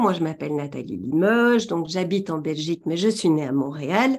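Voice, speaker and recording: A woman talks at a moderate pace. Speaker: trainer in tarot and runes. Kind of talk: webinar presentation. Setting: webinar, talking to a camera.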